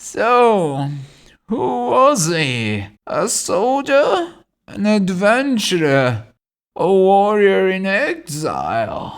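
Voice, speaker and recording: A man puts on a character voice at a high pitch. He speaks very slowly. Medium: read story. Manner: knowing, wry.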